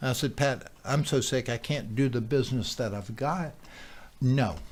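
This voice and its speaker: On a very clean recording with a silent background, a man with a somewhat breathy voice speaks at a moderate pace with ordinary pitch variation. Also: medium pitch for a man. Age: 60s. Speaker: interviewee sharing health testimonial. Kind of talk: testimony. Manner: halting, many fillers.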